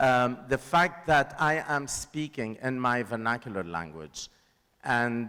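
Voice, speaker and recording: A man's medium-pitched voice, bright and sharp in tone, with lively intonation and a Lebanese accent. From Lebanon. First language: Lebanese Arabic. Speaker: filmmaker. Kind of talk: panel discussion.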